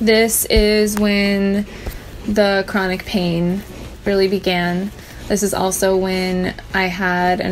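A woman's medium-pitched, monotone voice with flat intonation and light background noise. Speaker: vlogger sharing chronic illness story. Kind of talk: sit-down personal vlog monologue. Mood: serious, reflective. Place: home room. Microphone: phone near.

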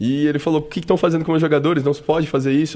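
A man talks at a very fast pace. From Brazil, São Paulo state (Americana); São Paulo state, Brazil. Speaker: football physiotherapist; guest. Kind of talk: radio interview. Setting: radio studio. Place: studio. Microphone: studio mic.

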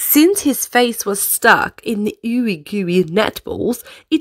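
The speaker is reading aloud. The voice stays natural throughout.

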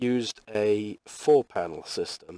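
A man talks with a British accent at a fairly low pitch. The sound is dry with no echo, and the background is quiet. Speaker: webcomic artist. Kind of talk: casual drawing tutorial talk. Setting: poor quality microphone.

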